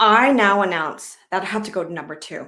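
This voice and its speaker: At a moderate pace, a woman with a Canadian accent speaks at a medium pitch. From Canada, Vancouver. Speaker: comedian. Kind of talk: stand-up.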